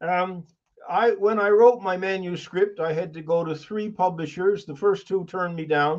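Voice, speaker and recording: A moderate pace and fairly even intonation. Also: man. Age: 70s. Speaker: author and professional Santa. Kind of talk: presentation.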